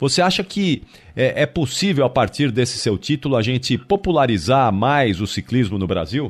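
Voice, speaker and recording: The background is quiet as a man speaks with very wide pitch swings. His loudness stays very even. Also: medium pitch for a man, moderate pace. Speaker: radio host. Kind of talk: radio interview.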